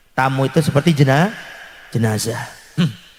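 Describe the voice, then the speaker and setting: A somewhat breathy man. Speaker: Islamic preacher. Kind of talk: sermon. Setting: religious gathering with audience. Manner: animated.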